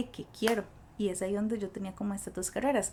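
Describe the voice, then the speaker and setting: A woman speaks with a Costa Rican accent. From Costa Rica, Cachí (rural). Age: 20s. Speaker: school guidance counselor. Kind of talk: podcast interview, personal story.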